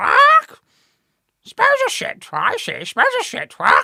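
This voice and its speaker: Extremely high in pitch, this is a put-on character voice. Its delivery is very slow. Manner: squawking, repetitive.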